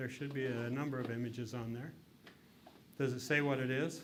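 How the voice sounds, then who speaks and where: In a western US accent, a man at a medium pitch talks at a fairly quick pace in a monotone, flat delivery broken by long, frequent pauses, with audible room echo. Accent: western American. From Utah. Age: 60s. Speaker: lecturer, former state politician. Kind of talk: interactive lecture.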